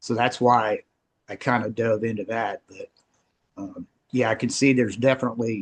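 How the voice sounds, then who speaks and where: At a moderate pace and medium pitch, a man talks in a flat monotone broken by long, frequent pauses, the sound dry and close with no echo. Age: 60s. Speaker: group participant. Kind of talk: casual chat. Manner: halting.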